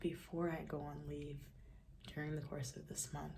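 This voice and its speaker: In a room with audible echo, a woman with a very deep, low voice, a dark, mellow tone and vocal fry speaks at a moderate pace. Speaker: vlogger. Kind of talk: casual vlog talk. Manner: hesitant, many fillers.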